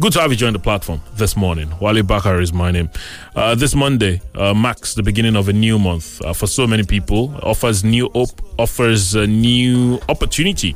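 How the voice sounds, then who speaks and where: Over music in the background, a man with a fairly low pitch speaks at a moderate pace with ordinary pitch variation and very even loudness. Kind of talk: radio DJ patter with show opening and news headlines, station greeting and date and time. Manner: warm, upbeat, welcoming, fluent.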